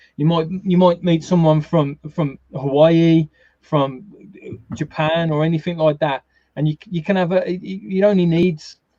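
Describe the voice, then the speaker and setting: In a strong Brummie accent, a man speaks at a moderate pace and fairly high pitch with fairly even intonation, recorded dry and close with no echo. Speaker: gaming YouTuber and streamer. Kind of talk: casual chat. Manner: halting, many repeated words.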